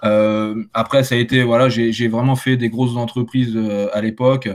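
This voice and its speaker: Dry and close with no echo, a man's medium-pitched voice moves at a moderate pace in a monotone, flat intonation. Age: 20s. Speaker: solar panel installer. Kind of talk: casual chat.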